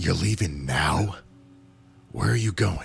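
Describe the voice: A man puts on a gruff character voice, very deep and low in pitch, at a fairly slow pace.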